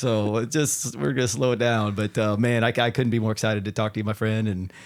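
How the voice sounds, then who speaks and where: A man speaking very fast at a fairly low pitch, in a very clean recording with a silent background. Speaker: podcast host. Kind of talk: casual interview. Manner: animated.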